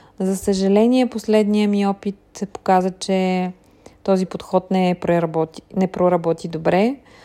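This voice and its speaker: Fairly slow, fairly even speech from a woman at medium pitch with a dark, mellow tone. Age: 40s. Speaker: blogger. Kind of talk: personal audio diary monologue. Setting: in a car.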